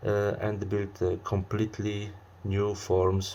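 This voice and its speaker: With a very deep, low pitch, a man speaks in a somewhat breathy voice. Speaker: music reviewer. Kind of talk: album review to camera. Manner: hesitant, many fillers.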